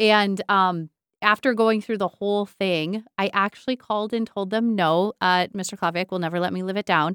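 A woman's voice at medium pitch, a normal speaking voice, with fairly even intonation at a moderate pace, in a dry, close sound with no echo and a very clean recording with a silent background. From northern Michigan. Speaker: school superintendent. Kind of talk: casual interview.

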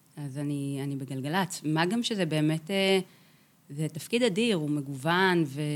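This woman's voice sits very deep and low. Its pitch varies in an ordinary way. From Israel, kibbutz in Beit She'an valley. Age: 30s. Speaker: chief music editor of a radio station. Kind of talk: interview conversation.

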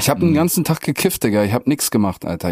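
Lively in intonation, a man speaks at a very fast pace in a dry, close sound with no echo. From northwest Germany (Meppen, Emsland). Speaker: rapper. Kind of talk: casual chat.

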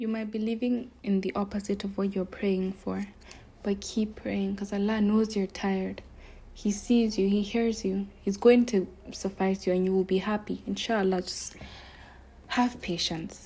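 A woman's dark, mellow, somewhat breathy voice at a moderate pace, with monotone, flat intonation. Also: medium pitch for a woman. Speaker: religious podcaster. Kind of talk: casual religious talk.

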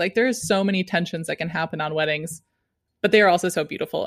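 In a dry, close recording with no echo and a silent, very clean background, a woman speaks at a fairly low pitch. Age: 30s. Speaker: wedding photographer. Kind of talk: casual interview.

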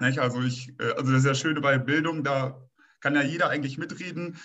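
A man with a plain, everyday voice speaks at a fairly quick pace, with a fairly high pitch and fairly even intonation. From northern Germany, Münsterland. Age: 30s. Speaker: plumber and state election candidate. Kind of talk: political discussion.

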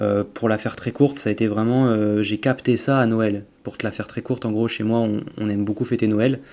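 This man has a dark, mellow tone and a monotone, flat intonation. He talks at a fairly quick pace with hardly any pauses. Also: medium pitch for a man. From Auvergne, France. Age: 20s. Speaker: bodybuilder and entrepreneur. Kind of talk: casual interview chat.

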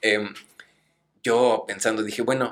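At a moderate pace, a man with a Mexican accent speaks in a medium-pitched voice with a bright, sharp tone. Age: 20s. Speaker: lawyer. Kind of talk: casual chat.

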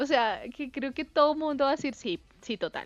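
A woman's high-pitched voice with a dry, close sound and no echo. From Colombia. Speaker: podcast co-host. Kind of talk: casual chat.

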